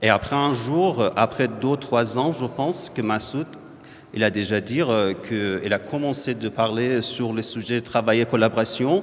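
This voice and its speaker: With noticeable background noise behind him, a man with a non-native accent speaks at a fairly slow pace with ordinary pitch variation. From Iran. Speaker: visual artist, painter. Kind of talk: public talk at book presentation. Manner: halting, many hesitations.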